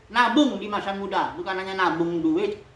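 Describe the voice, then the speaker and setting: A woman talks at a moderate pace, her pitch swinging very widely. Audible room echo surrounds her voice. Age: 60s. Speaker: pastor. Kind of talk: sermon. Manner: casual.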